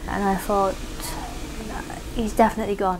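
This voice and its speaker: Room echo and background noise are both noticeable. A woman speaks at medium pitch in a monotone, flat intonation. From Iraq, Baghdad until 11, then London. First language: Arabic. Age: 30s. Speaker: documentary subject. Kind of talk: interview testimony.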